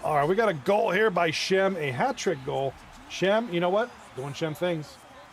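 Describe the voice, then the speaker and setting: There is noticeable background noise behind this man. His pitch is high, his pace moderate, and his intonation lively. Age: 40s. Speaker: esports hockey league commentator. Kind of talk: live commentary. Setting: livestream.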